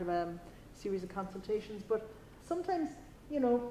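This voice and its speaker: With a Cork accent, a woman speaks at a very fast pace. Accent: Irish (Cork). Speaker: career consultant. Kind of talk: talk with audience Q&A.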